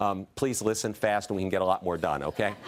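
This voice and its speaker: Very fast speech over noticeable background noise. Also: man. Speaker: diversity consultant and speaker. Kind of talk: talk to an audience.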